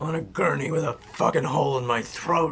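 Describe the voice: Putting on a raspy character voice, a man talks at a fairly quick pace with a medium pitch and ordinary pitch variation, clear background noise behind him.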